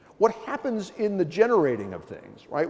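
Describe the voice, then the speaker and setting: A man at a very fast pace, animated in tone with lively intonation, over noticeable background noise. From US East Coast. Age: 60s. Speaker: professor. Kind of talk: keynote lecture. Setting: conference stage with audience.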